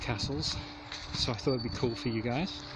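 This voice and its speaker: A man speaks with a North Welsh accent at a medium pitch. His pace is fairly quick, with noticeable background noise. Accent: North Wales. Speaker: gaming YouTuber. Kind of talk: vlog narration while hiking. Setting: outdoors. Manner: casual, enthusiastic.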